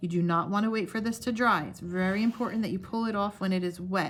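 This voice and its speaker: Somewhat breathy and very fast, a woman talks at a medium pitch with ordinary pitch variation. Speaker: craft workshop instructor. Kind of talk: tutorial.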